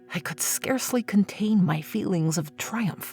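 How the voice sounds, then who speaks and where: Music plays in the background as a woman talks at a moderate pace with very wide pitch swings. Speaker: voice actor. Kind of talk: dramatic horror story reading. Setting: home studio.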